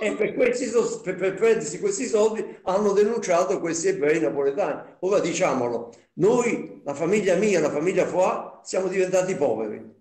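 Lively intonation marks a man's high-pitched voice at a moderate pace. The room echo is audible. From Naples, Italy; Italy. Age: 80s+. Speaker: Holocaust survivor witness; witness. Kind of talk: testimony. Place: home room. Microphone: video call.

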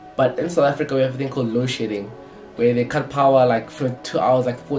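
Very fast speech with fairly even intonation over clear music in the background. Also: man. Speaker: sneaker content creator. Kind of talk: tutorial. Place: home room.

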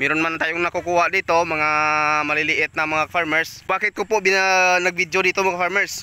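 The tone is bright and sharp, with monotone, flat intonation at a moderate pace. The sound is dry with no echo, and the loudness stays very even. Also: man, high pitch for a man. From Philippines. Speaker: police officer and farmer vlogger; farmer vlogger. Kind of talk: casual vlog talk to camera. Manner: hesitant, many filler sounds. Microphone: phone near.

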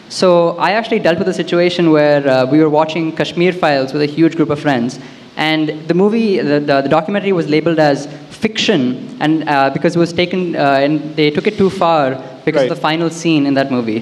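The man keeps very even loudness and uses ordinary pitch variation. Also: fairly quick pace. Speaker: audience member, recent graduate. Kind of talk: audience question at live event. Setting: event hall with audience. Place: hall. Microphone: handheld.

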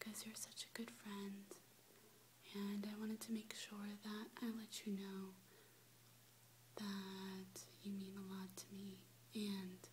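A soft-spoken woman whispering at a very slow pace, with long, frequent pauses and light background noise. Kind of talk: soft personal address to camera. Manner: soft, tender whisper. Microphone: webcam.

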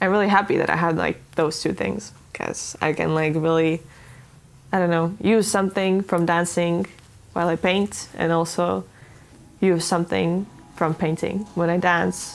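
Her voice is fairly low-pitched for a woman, and the woman speaks in a monotone, flat intonation. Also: moderate pace. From Estonia. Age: young. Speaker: dancer, choreographer and artist. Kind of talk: interview answer. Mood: calm, reflective, smiling. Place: home room. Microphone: lapel.

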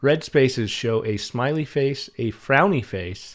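Speech comes at a very slow pace over a quiet background. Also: man. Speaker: game streamer. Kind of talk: gameplay commentary. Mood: wry, joking. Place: home room.

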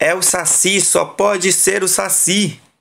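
A man is speaking. His tone is animated and playful. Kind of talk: bedtime story narration, reading a children's book aloud. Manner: animated, playful storyteller.

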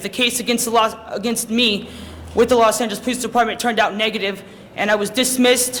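Noticeable background noise and audible room echo surround a man speaking in a raised, projected voice at a very fast pace, with an extremely high pitch and fairly even intonation. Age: 20s. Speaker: public commenter. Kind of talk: public testimony. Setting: council chamber. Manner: halting.

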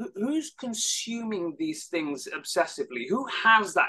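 A man's raised, projected voice, high in pitch, with very wide pitch swings at a moderate pace. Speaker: head of an anti-hate advocacy nonprofit. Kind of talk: panel discussion. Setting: online webinar. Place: home room. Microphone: video call.

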